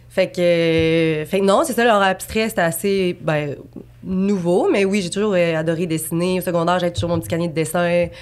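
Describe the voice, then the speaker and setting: Using a plain, everyday voice, a woman speaks at a moderate pace in a fairly low pitch with ordinary pitch variation. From Quebec City, Quebec. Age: 20s. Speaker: abstract painter. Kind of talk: podcast interview. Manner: casual, many fillers.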